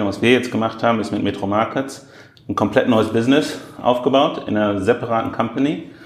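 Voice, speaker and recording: A man's plain, everyday voice at a medium pitch, with a fairly quick pace and fairly even intonation. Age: 30s. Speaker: e-commerce executive. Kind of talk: interview. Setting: airport.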